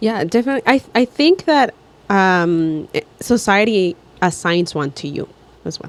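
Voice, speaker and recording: A woman with a Mexican accent at a medium pitch, her pitch swinging very widely and her loudness shifting in big swings. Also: moderate pace. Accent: Mexican Spanish accent in English, noticeable. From Mexico. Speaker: podcast co-host. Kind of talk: casual chat. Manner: halting, repeats words.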